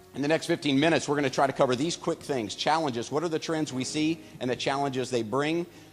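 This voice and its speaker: Over music in the background, a man in a fairly high pitch rattles along very fast with hardly any pauses and fairly even intonation. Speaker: company executive giving investor presentation. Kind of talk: business presentation.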